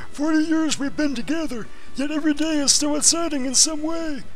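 Through clear background noise, a man does a put-on character voice at a fairly quick pace.

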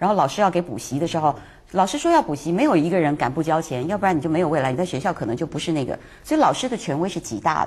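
A woman's fairly low voice with lively intonation at a very fast pace. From Taiwan. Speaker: talk show guest commentator. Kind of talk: casual chat.

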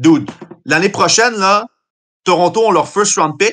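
With a bright, sharp tone, a man speaks in a high voice with ordinary pitch variation. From Montreal, Quebec. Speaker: football analyst. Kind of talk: casual chat.

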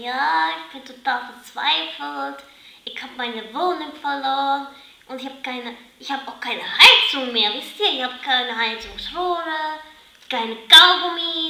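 A woman's put-on, whiny character voice, high-pitched and fairly slow, with a whiny tone, big swings in loudness and a slight echo. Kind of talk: scripted-reality parody, comic overacting. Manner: whiny, theatrically despairing.

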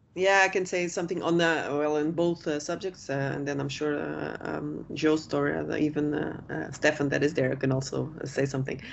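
With light background noise, a woman with a Portuguese accent talks at a moderate pace with hardly any pauses. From Portugal. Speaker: marine biologist, company founder; panelist. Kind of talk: business presentation and panel Q&A. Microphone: headset.

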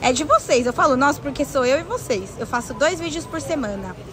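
A woman at a fairly quick pace with ordinary pitch variation, dry with no echo, over noticeable background noise. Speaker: travel live streamer. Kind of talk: casual live stream chat, reading viewer comments. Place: shop.

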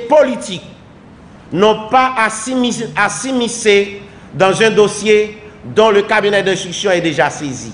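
This man talks very slowly. His voice is high-pitched, with ordinary pitch variation. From Haiti. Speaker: government minister. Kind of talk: official statement. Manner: formal. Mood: formal, measured. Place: office. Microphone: podium.

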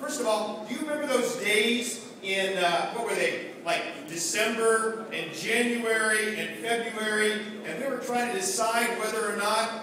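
A raised, projected voice at a moderate pace and with ordinary pitch variation comes through strong room echo and noticeable background noise. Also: man. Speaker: politician addressing delegates. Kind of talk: political speech. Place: hall.

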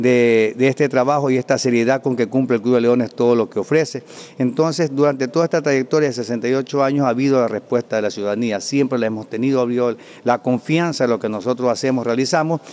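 A man rattles along at a very fast pace with fairly even intonation. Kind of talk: interview answer. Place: hall. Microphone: handheld.

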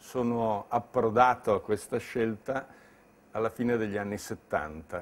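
The pace is fairly slow as this man talks. Pitch variation stays ordinary. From Lombardy, Bergamo; Lombardy. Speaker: entrepreneur. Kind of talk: interview monologue.

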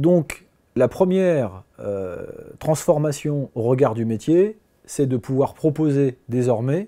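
Speaking over a quiet background, a man with a fairly high voice and a dark, mellow tone uses lively intonation. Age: 40s. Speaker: business owner. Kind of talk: interview testimony. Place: office. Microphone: lapel.

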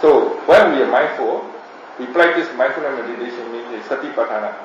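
Light background noise and audible room echo surround the recording. A man speaks at a fairly quick pace. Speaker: meditation teacher. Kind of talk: teaching talk, answering questions. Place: home room. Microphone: camera far.

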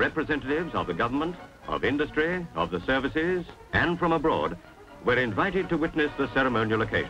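A man's fairly quick speech with very wide pitch swings, music playing in the background. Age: 1957 recording. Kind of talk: newsreel narration.

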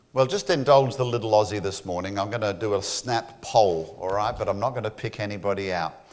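A man talks at a fairly quick pace with hardly any pauses, in an Australian accent. His pitch is fairly low, with ordinary variation. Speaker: creation ministry speaker; speaker. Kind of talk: church talk. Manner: fast. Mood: humorous, engaging. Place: church.

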